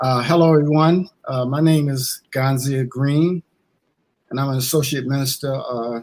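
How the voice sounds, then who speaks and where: An ordinary speaking voice, a man with an American accent talks at a moderate pace in a fairly high pitch with fairly even intonation. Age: 60s. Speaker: associate minister. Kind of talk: testimony. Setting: church.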